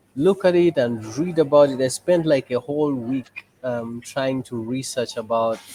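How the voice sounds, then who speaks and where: Noticeable background noise sits behind a man talking at a moderate pace, his medium pitch showing ordinary pitch variation. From Uganda, Kampala. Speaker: photo booth business owner and NGO head. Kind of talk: casual interview. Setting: video call from a cafe.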